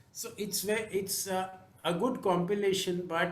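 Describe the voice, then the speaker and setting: A high-pitched man speaks at a moderate pace with fairly even intonation. The room echo is audible. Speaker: jury member. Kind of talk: jury remarks on books. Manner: halting. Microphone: too quiet.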